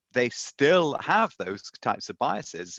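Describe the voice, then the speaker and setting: A man with a British accent, bright, sharp tone and lively intonation, dry and close with no echo, against a quiet background. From Britain. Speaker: mathematics professor and author. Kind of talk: podcast interview. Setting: remote interview from home.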